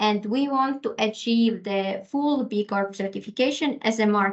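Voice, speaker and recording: A woman with an ordinary speaking voice, fairly high in pitch, with ordinary pitch variation and a fairly slow pace. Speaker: corporate sustainability specialist. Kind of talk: webinar presentation. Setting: online webinar.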